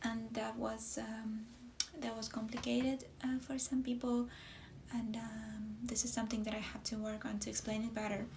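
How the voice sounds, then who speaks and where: Noticeable background noise and audible room echo surround this recording. A woman talks at a fairly slow pace in a fairly high pitch with monotone, flat intonation. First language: not English. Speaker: knitwear designer. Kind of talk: casual podcast talk. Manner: halting, many fillers.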